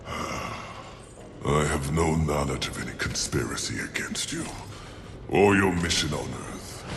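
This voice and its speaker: A man puts on a character voice with a very deep, low pitch, speaking at a fairly slow pace over clear background noise and a clear echo. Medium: video game. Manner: grandiloquent, measured.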